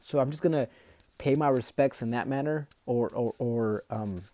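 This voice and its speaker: A man speaks with a dark, mellow tone at a medium pitch. The recording is very clean and dry, close with no echo against a silent background. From Mexico. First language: Spanish. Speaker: book reader and commentator. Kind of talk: reading aloud with commentary. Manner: casual, hesitant with repetitions.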